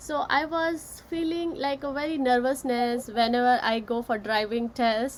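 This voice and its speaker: Against noticeable background noise, a woman with a high voice speaks at a moderate pace, with hardly any pauses and ordinary pitch variation. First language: not English. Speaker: author and session host. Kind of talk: live-streamed casual discussion. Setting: Facebook live session.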